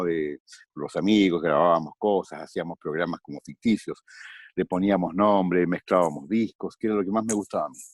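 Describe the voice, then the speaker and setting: Very deep and low in pitch, the man speaks at a moderate pace with ordinary pitch variation. The sound is dry and close, with no echo. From Chile. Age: 50s. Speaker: voice actor. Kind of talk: interview answer.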